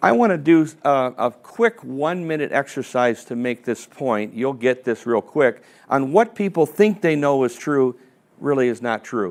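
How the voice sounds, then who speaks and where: A man talks at a moderate pace and medium pitch with lively intonation. He has an unremarkable speaking voice. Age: 60s. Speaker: financial advisor and seminar presenter. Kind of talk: seminar presentation. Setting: seminar room with live audience. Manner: conversational, interactive.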